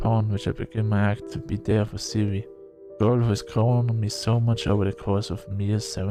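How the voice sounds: What you hear is a natural reading voice.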